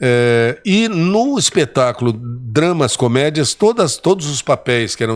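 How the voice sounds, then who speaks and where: A man's fairly high-pitched voice with very wide pitch swings. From interior of São Paulo state, Brazil. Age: 70s. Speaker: state politician and former TV presenter. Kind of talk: interview storytelling.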